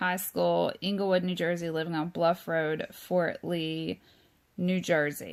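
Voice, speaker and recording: A woman speaks with a Southern US accent. Her voice is fairly low in pitch, with a monotone, flat intonation. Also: very clean recording, silent background. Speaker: true crime YouTuber. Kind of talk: informal talk reading from notes. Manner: hesitant, many fillers.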